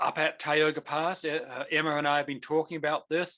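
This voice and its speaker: At a moderate pace, a man speaks with a fairly high pitch and a bright, sharp tone. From New Zealand. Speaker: avalanche course instructor and mountain guide. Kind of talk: online lecture. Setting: video call.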